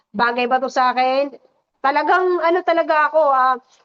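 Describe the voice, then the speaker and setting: A woman with a high pitch and an energetic tone speaks at a moderate pace with ordinary pitch variation, recorded dry and close with no echo. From Visayas, Philippines. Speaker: network marketing leader. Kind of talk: testimony.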